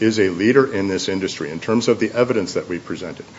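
A man in a normal speaking voice, fairly low-pitched, with lively intonation at a fairly quick pace. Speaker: appellant's attorney. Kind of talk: appellate oral argument. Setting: courtroom. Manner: formal.

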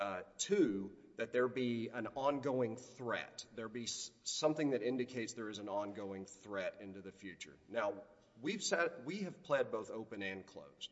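The speaker has an ordinary speaking voice with lively intonation. Their loudness swings a lot. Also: man, medium pitch for a man, moderate pace. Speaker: appellate lawyer. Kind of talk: oral argument. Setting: courtroom.

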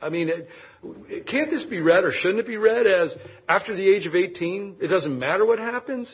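A man at a moderate pace with lively intonation, over noticeable background noise. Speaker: chief judge. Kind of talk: presiding over oral argument. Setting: courtroom. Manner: formal.

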